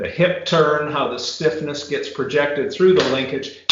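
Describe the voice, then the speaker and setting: A man speaks at a fairly slow pace with a fairly high pitch and ordinary pitch variation. There is audible room echo. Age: 60s. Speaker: retired biomechanics professor. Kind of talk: casual interview chat.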